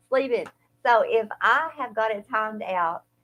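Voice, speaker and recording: In an Eastern Kentucky accent, a woman speaks at a fairly slow pace with a bright, sharp tone. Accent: Eastern Kentucky twang, noticeable. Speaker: podcast co-host. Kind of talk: casual chat.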